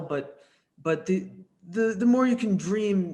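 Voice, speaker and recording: A man with a New York accent speaks with lively intonation. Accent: New York area American. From US Northeast, New York suburbs. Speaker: interview show host. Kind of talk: interview.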